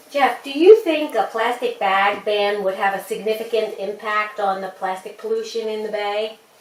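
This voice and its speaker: Noticeable background noise surrounds a woman speaking at a fairly high pitch and moderate pace with hardly any pauses. Her intonation is fairly even, while her loudness swings widely. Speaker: interviewer.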